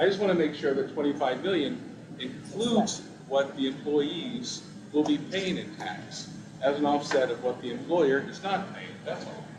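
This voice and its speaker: Over noticeable background noise and audible room echo, a man with a fairly high pitch talks at a moderate pace with lively intonation and big swings in loudness. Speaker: tax commission member. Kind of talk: committee meeting discussion.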